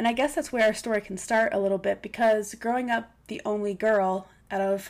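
Here is an unremarkable speaking voice from a woman. She has a fairly high pitch and keeps a moderate pace. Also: very clean recording, silent background. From US Northeast, Pennsylvania (near Scranton). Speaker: podcast host. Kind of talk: personal testimony monologue. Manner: warm, heartfelt.

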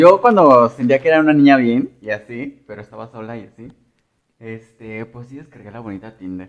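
Using a plain, everyday voice, a man talks at a medium pitch and moderate pace with ordinary pitch variation and big swings in loudness. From Mexico, small rural town near León. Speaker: podcast co-host. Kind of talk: casual chat.

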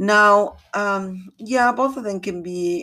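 A woman with a Latin American accent speaks in a very clean recording with a silent background. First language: Spanish. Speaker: realtor. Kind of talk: podcast monologue, informational talk. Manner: halting, with fillers.

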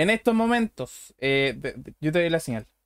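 The sound is dry and close with no echo as a man speaks fairly slowly. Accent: Chilean. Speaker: podcast host. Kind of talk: casual chat. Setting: live stream. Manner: animated.

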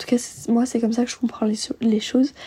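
A woman's fairly high, dark and mellow voice with a husky, rough edge and little pitch movement.

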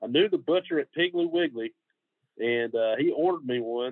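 In a Georgia accent, a man speaks at a moderate pace with ordinary pitch variation. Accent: US Southern (Georgia). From Middle Georgia. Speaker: barbecue pitmaster. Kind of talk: casual interview chat.

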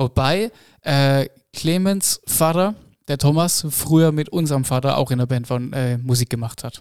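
A plain, everyday voice at a fairly slow pace, with ordinary pitch variation, in a very clean recording with a silent background. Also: man, fairly high pitch for a man. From Baden-Württemberg (northern Baden). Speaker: blues rock musician. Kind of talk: casual interview chat.

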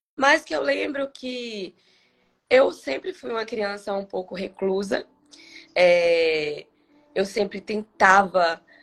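A woman speaks very slowly with lively intonation. Music plays in the background. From Bahia, Brazil. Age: 30s. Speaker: cancer survivor guest. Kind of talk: testimony.

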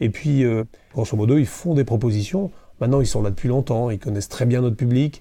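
Speaking at a fairly quick pace, a man uses a dark, mellow tone at medium pitch with ordinary pitch variation against a quiet background. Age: 50s. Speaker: festival president and entrepreneur. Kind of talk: interview. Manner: hesitant, many fillers.

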